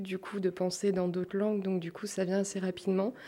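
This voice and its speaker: A woman's dark, mellow tone. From France, Portuguese family. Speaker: interviewee. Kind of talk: testimony.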